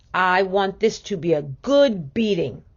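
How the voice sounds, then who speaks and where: Booming put-on character voice from a woman, medium in pitch, with lively intonation at a fairly slow pace. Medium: read story. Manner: firm, commanding.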